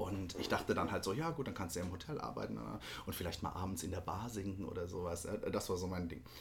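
Amid audible room echo, a man talks at a very fast pace with a very deep, low pitch, vocal fry and lively intonation. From Baden-Württemberg, near Hockenheim. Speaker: musical actor. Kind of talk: casual interview. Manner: hesitant, many fillers.

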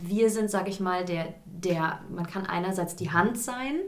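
A woman speaks at a very slow pace with ordinary pitch variation, over noticeable background noise and audible room echo. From Hesse, Germany (Gießen). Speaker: musical theatre performer. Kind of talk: casual interview. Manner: hesitant, many fillers.

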